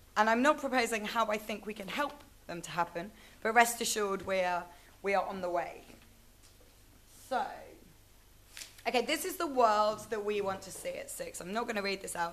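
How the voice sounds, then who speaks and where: With a British accent, a woman speaks at a moderate pace and fairly high pitch, showing big swings in loudness and long, frequent pauses. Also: ordinary pitch variation. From Britain. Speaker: conference speaker. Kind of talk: presentation. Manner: hesitant, frequent fillers.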